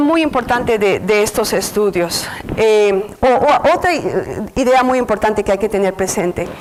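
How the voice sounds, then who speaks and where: Over noticeable background noise, a woman with a Mexican accent talks at a fairly slow pace and very even loudness. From Mexico City. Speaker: researcher lecturer. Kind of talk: lecture. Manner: halting, many fillers.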